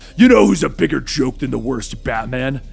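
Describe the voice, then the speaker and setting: A man growls in a put-on character voice, his pitch medium and his pace moderate. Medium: read story.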